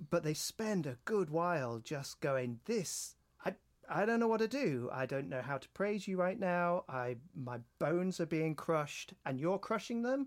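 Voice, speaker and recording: The recording is very clean, with a silent background. A man with a British accent speaks in a high voice at a fairly slow pace, his pitch swinging very widely. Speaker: podcast host. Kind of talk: casual chat.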